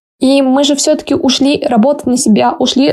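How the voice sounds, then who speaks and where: A woman with a high pitch speaks in a dark, mellow tone. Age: 20s. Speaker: English teacher and blogger. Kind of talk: casual chat.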